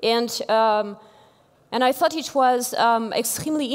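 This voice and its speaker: A woman with a French accent speaks at a fairly high pitch with ordinary pitch variation. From France. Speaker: engineering executive, conference speaker. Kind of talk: keynote talk. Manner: halting, many fillers.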